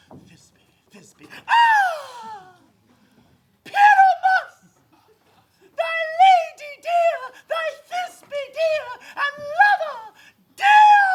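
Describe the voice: This put-on character voice is extremely high and squeaky. It moves at a very slow pace, with long, frequent pauses.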